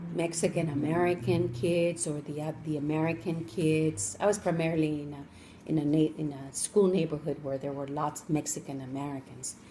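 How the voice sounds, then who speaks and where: A woman with a Spanish accent speaks at a moderate pace in a very deep, low pitch, with ordinary pitch variation. Her loudness swings widely, and she hardly pauses. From Colombia (Cali), moved to Los Angeles as a child. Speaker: interviewee, parent of the student interviewer. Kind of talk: interview.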